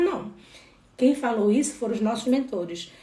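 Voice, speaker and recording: An animated woman with a Pará accent, fairly high pitch and very wide pitch swings, at a fairly quick pace, with audible room echo and noticeable background noise. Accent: northern Brazilian (Pará). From Brazil, Belém do Pará. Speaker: holistic therapist. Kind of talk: spiritual live talk.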